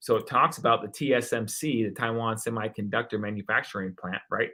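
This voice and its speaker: A man talks fairly quickly at a medium pitch. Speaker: real estate YouTuber. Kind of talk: livestream market update. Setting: YouTube live stream. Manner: animated; fast.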